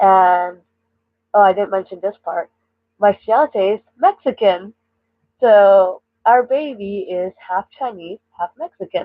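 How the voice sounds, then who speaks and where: A woman with a Canadian accent talks at medium pitch with ordinary pitch variation. Her very slow delivery has long, frequent pauses. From British Columbia, Canada. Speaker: streamer. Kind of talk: live stream chat. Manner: halting.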